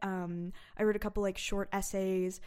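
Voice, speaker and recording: A woman with a Californian accent speaks at a moderate pace. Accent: Californian American English. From San Francisco Bay Area, California. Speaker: comedy writer. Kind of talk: casual interview.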